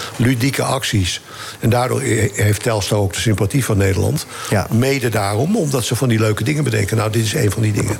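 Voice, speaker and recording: Over noticeable background noise, a man at medium pitch talks at a fairly quick pace, keeping his loudness very even and his pitch variation ordinary. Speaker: former football association chairman. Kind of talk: casual chat.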